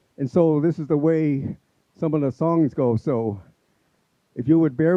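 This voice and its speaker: A man with a Southwestern US accent, fairly high-pitched, at a moderate pace and with ordinary pitch variation. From Apache reservation, US Southwest. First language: Apache. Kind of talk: community event speech. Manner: halting, many fillers.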